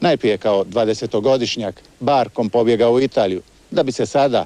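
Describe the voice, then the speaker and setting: The sound is dry and close, with no echo at all. A man's tone is dark and mellow. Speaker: TV reporter. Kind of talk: TV news report narration.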